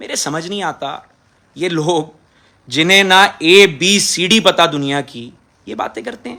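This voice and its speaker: A man speaks with lively intonation, his voice high-pitched with a bright, sharp tone. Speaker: politician. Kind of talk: impassioned video statement. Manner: aggressive, forceful.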